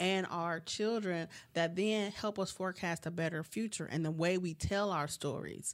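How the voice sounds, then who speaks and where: In a normal speaking voice, a woman with fairly low pitch talks at a moderate pace with hardly any pauses, fairly even intonation and very even loudness, on a very clean recording with a silent background. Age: 40s. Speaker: interfaith community organizer. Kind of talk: interview conversation.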